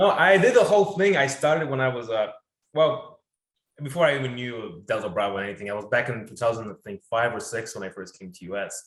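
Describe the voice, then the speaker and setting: This man talks at a very fast pace with a non-native accent. His medium pitch swings very widely. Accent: foreign. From Poland (Warsaw), born in Russia. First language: Russian or Polish. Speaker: location hunter and 3D designer. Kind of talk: casual podcast chat.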